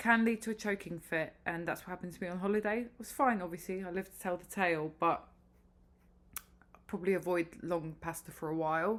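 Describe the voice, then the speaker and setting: A woman with a British accent at a medium pitch, very fast pace, ordinary pitch variation, and big swings in loudness. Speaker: vlogger. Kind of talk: casual vlog update.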